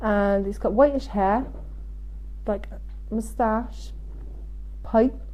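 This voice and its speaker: In a Devon accent, a woman speaks at a very slow pace with long, frequent pauses and audible room echo. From Devon, England. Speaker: psychic medium. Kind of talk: live stream reading. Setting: Facebook live stream.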